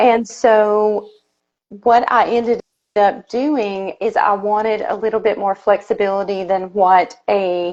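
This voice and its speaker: Speaking at a very slow pace, a woman with a Southern US accent has a fairly high pitch and fairly even intonation. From Tennessee, US South. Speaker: bookkeeper, business owner. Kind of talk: interview.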